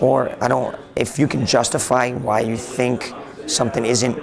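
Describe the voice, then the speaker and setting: A man talks with audible room echo and noticeable background noise. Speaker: IT blogger. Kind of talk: interview. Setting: conference. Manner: halting.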